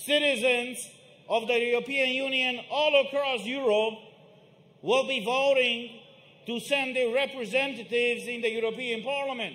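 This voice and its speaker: The voice is raised and projected, moving at a moderate pace in a monotone, flat intonation with audible room echo. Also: man, extremely high pitch for a man. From Romania. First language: Romanian. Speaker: protest speaker. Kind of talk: rally speech. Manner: emphatic.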